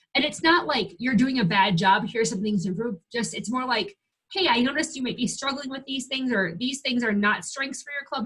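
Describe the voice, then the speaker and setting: Her pitch fairly high, a woman talks at a fairly quick pace with hardly any pauses and lively intonation. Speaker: 4-H extension staff trainer. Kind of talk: webinar training. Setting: online screen-share webinar. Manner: fast.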